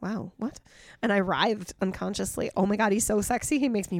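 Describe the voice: What you hear is plain reading aloud.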